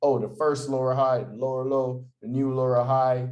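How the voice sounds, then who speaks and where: A man of medium pitch talks at a moderate pace. Audible room echo surrounds his voice. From Jamaica. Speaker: forex trader. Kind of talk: tutorial. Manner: casual, energetic.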